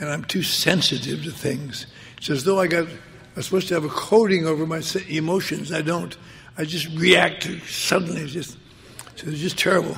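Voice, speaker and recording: Over noticeable background noise, a man talks at a moderate pace. His pitch is fairly high and his intonation fairly even. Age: 80s+. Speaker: recovering alcoholic speaker. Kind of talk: personal recovery talk to an audience.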